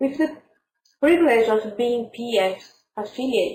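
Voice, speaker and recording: With a Brazilian accent, a woman talks at a moderate pace using lively intonation. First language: Portuguese. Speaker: parapsychology researcher. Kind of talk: conference presentation. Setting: virtual conference.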